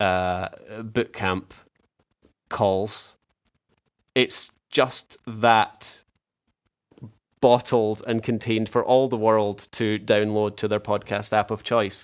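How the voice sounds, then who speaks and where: A man with a Scottish accent talks very slowly, pausing long and often. His fairly low voice stays monotone and flat. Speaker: podcast host. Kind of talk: casual interview. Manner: halting, many restarts.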